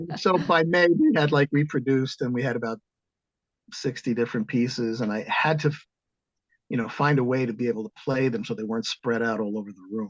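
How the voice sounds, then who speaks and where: A man speaks in an ordinary speaking voice with an American accent. His pitch is medium, his pace fairly quick and his pitch variation ordinary. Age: 60s. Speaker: composer and organist. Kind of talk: interview.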